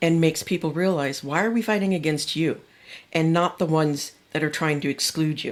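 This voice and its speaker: A woman speaks at a fairly quick pace. Her pitch is very deep and low, on a very clean recording with a silent background. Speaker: speech language pathologist. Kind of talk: casual chat. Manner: loud; animated.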